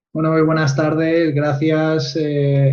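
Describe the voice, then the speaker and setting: A somewhat breathy male voice with a Spanish accent and fairly even intonation. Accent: Spanish (Spain). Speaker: nutritionist and researcher. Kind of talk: interview.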